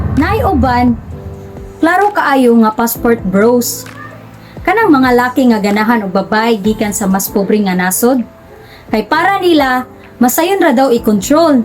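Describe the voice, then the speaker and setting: A woman with a high pitch speaks at a fairly slow pace, her voice swinging very widely. Noticeable background noise runs underneath. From Philippines. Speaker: relationship vlogger. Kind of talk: vlog monologue.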